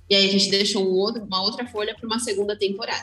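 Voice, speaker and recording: Her voice sits fairly high in pitch. There is noticeable noise behind her. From interior of São Paulo state, Brazil. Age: 20s. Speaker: photographer. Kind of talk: casual chat.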